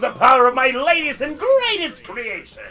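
A put-on character voice in a high pitch. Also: moderate pace. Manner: boastful villainous.

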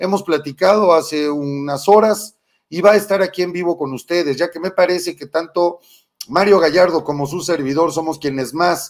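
The background is quiet as a man speaks at a high pitch. His pitch varies in an ordinary way. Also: moderate pace. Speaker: political live-stream host. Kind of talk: political commentary.

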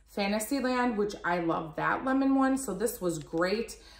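The speaker is a woman. Room echo can be heard around her. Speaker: product reviewer. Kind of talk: casual vlog chat. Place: home room. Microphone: phone near.

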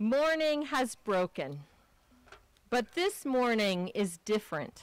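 Very slowly, a woman speaks with very wide pitch swings, in dry sound with no echo over light background noise. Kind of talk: liturgical welcome and reading. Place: open country.

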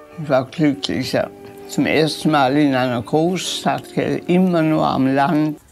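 With faint music in the background, a woman speaks at a very slow pace in a very deep, low pitch. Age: 80s+. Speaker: historical eyewitness. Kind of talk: interview answer. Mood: reflective, emotional recollection.

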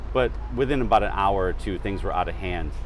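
A man at a fairly quick pace, dry with no echo, music playing in the background. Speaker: historian tour guide. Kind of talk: interview answer. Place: street. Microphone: lapel.

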